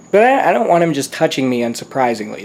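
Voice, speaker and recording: A man speaks over noticeable background noise. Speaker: YouTuber documenting home haunt build. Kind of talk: casual vlog. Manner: casual, halting with fillers.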